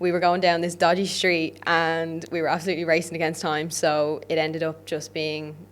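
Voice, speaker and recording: At a moderate pace, a woman with an Irish accent talks at a fairly low pitch. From Ireland. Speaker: podcast host, fitness coach. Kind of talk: solo podcast monologue. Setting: podcast studio. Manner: animated.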